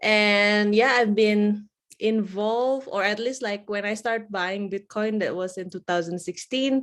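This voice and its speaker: Over a quiet background, someone with an Indonesian accent speaks at a fairly slow pace with fairly even intonation. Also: woman, medium pitch for a woman. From Indonesia, Java. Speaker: bitcoin educator. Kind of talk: interview.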